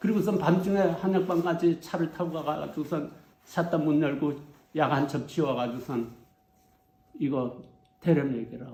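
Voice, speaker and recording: The voice carries vocal fry, an ordinary amount of pitch variation and a moderate pace. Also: man. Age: 80s+. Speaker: herbal medicine researcher, former herbal pharmacist. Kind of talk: lecture, recounting personal experiences.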